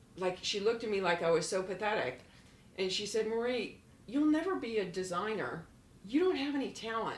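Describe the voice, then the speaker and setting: Speaking at a fairly quick pace with a fairly high pitch, a woman with an American accent uses lively intonation amid audible room echo and noticeable background noise. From Florida. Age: 60s. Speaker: former model. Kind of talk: podcast interview. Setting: apartment.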